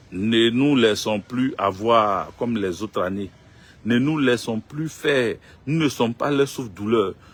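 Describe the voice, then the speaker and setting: The speaker moves at a very slow pace. The pitch varies in an ordinary way. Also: man, medium pitch for a man. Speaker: political commentator. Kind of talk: live stream monologue.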